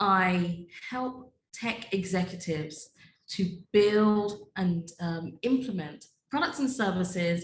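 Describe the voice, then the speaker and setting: Speaking at a very slow pace with a British accent, a woman has a somewhat breathy, medium-pitched voice with ordinary pitch variation. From UK. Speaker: data privacy attorney and business owner. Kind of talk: podcast interview.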